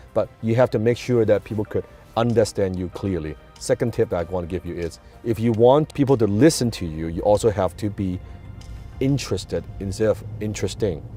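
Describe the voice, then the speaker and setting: A man with a non-native accent speaks at a fairly quick pace and a fairly low pitch. Music plays in the background. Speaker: entrepreneur and public speaker. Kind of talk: motivational talk to camera.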